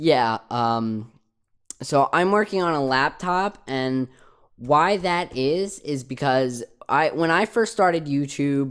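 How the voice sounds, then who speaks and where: The speaker talks at a very slow pace with a New Jersey accent. The recording is very clean, with a silent background. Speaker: YouTuber. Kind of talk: casual Q&A vlog. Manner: hesitant, many fillers.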